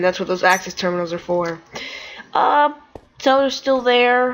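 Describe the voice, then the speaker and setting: A woman's quiet voice at a moderate pace, with ordinary pitch variation. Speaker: gaming youtuber. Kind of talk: gameplay commentary.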